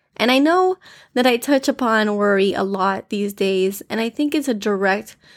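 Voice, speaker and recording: In a very clean recording with a silent background, a woman with an American accent speaks at a medium pitch and a moderate pace in an unremarkable speaking voice. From US, Miami, Florida. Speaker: devotional podcast host. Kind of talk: devotional talk. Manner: informal, conversational.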